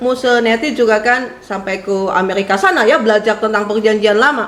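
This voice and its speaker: A woman speaks at a fairly quick pace with a fairly high pitch and ordinary pitch variation. Noticeable background noise and audible room echo surround her voice. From West Java, Purwakarta. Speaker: preacher, theology lecturer. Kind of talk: sermon introduction, casual chat with congregation. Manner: chatty, many fillers.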